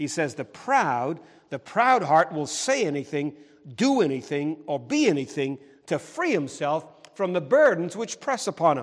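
A man's fairly high voice at a moderate pace, with very wide pitch swings. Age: 60s. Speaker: pastor. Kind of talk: sermon. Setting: church.

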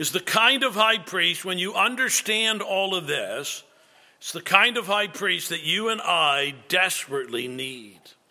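With a raised, projected voice, a man speaks at a fairly slow pace and a high pitch. His tone is bright and sharp, with lively intonation. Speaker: pastor. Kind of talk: sermon.

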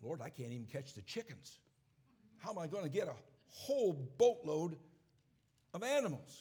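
A high-pitched man with an American accent and a dark, mellow tone, very wide pitch swings, big swings in loudness, a moderate pace and long, frequent pauses. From upstate New York. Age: 70s. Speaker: preacher. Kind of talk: sermon. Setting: church service.

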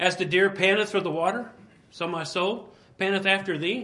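Speaking at a moderate pace, a man raises and projects a voice that is high for a man. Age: 60s. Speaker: pastor. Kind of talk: sermon. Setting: church.

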